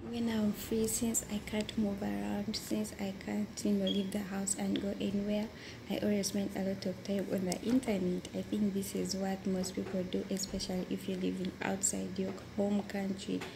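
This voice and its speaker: Over noticeable background noise, a woman talks at a moderate pace with very even loudness. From Uganda. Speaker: domestic worker. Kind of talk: interview. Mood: calm, sometimes smiling. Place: home room. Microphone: phone near.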